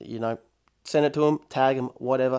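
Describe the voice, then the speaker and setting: Here a man talks at a fairly quick pace. The recording is very clean, with a silent background. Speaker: podcast host and music producer. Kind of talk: casual solo podcast monologue. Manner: fast; casual, slangy.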